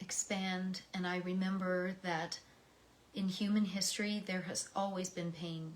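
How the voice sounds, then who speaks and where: A woman's somewhat breathy, monotone delivery, flat in intonation and very slow in pace. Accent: American. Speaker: poetry reader. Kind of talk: reading aloud; personal reflection. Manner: emotional.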